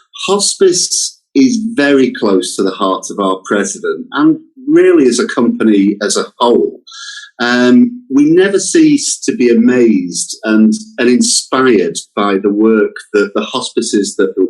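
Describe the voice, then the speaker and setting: The pace is on the slow side. It comes with a British accent. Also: man. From England. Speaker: company representative. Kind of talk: interview. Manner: hesitant, repeats words.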